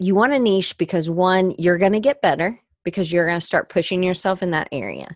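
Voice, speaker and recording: A woman speaks at a fairly quick pace in a normal speaking voice, her pitch medium with ordinary variation, the sound dry and close with no echo. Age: 40s. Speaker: podcast host. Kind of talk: live solo podcast with chat questions. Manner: casual, rambling with self-corrections.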